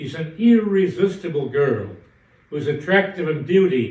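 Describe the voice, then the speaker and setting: A somewhat breathy male voice at a moderate pace, with lively intonation. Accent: American. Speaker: professor of Russian literature. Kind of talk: literature lecture.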